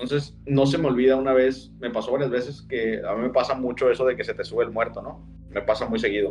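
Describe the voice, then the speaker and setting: Very fast male speech, with hardly any pauses. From Sinaloa, Mexico. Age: 30s. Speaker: storyteller of personal paranormal experiences. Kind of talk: casual storytelling.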